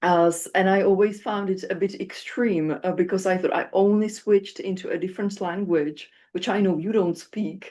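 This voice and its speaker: With a Czech accent, the speaker moves at a moderate pace with hardly any pauses. The tone is dark and mellow, and the intonation is fairly even. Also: woman, medium pitch for a woman. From Czech Republic. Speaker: phonetics researcher and moderator. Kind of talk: panel discussion. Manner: hesitant, many fillers.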